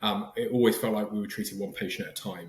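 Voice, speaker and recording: A man talks with an English accent. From southern England. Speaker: startup founder, former physician. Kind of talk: podcast interview. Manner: halting, many fillers and restarts.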